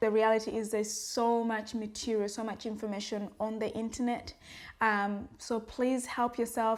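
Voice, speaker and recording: A woman with a fairly high pitch, monotone, flat intonation and an African accent, at a moderate pace. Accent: African accent, worked to adapt it. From Africa, former British colony. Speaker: vlogger. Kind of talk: personal vlog monologue. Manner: earnest, conversational with fillers.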